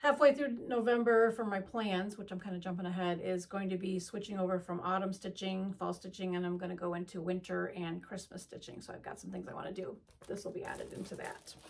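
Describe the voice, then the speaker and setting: The speaker moves at a fairly quick pace with hardly any pauses and ordinary pitch variation. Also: woman, medium pitch for a woman. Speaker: cross-stitch video creator. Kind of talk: casual haul show-and-tell. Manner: halting, many fillers.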